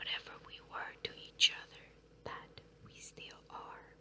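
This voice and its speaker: A very slow whisper comes through with noticeable background noise behind it. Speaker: ASMR creator. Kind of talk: poetry reading. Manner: whispered.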